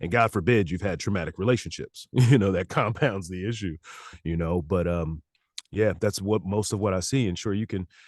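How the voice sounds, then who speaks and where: A man talks fairly quickly in an unremarkable speaking voice, fairly low in pitch, with ordinary pitch variation. The sound is dry and close, with no echo. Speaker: licensed therapist and audiobook narrator. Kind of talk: casual interview answer.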